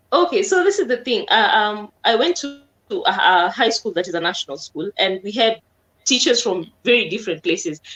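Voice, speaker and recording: At a fairly quick pace, a woman speaks in an animated tone with a fairly high pitch and very wide pitch swings. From Kenya, Nakuru, Kisii background. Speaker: comedian. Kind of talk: interview.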